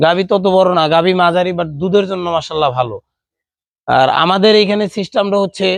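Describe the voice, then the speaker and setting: High pitch from a man, with pitch variation that is ordinary. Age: 20s. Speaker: dairy cattle farmer. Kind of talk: casual interview.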